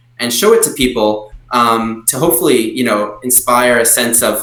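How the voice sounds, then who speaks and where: Moderately paced speech from a man at medium pitch, noticeable background noise behind it. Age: young. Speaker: wildlife photographer. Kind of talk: interview answer.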